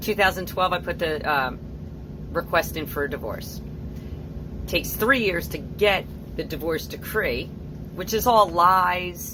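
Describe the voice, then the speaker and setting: Against noticeable background noise and audible room echo, a woman speaks at a fairly slow pace. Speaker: nonprofit founder and parental alienation activist. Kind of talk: personal testimony vlog. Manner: loud.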